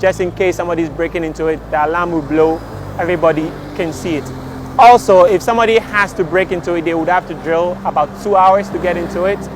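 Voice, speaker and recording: Speaking at a very fast pace with a Ghanaian accent, a man holds a high pitch and fairly even intonation against noticeable background noise. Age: young. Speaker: entrepreneur, inventor. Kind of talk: interview answer.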